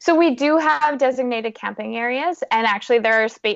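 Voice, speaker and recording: A woman with a Canadian accent has an unremarkable speaking voice. She talks at a moderate pace with ordinary pitch variation. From Canada, Saskatchewan. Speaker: adventurer and motivational speaker. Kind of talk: podcast interview.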